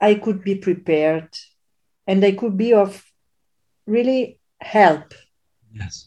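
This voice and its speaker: In an Italian accent, a woman speaks at a very slow pace with long, frequent pauses. Her voice sits at a medium pitch with ordinary pitch variation. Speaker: physician and podcast host. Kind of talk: interview conversation. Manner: halting with many fillers.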